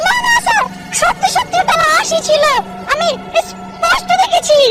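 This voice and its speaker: A squeaky, put-on character voice at an extremely high pitch, delivered at a moderate pace. Clear music plays in the background. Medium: comedy sketch. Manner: insistent.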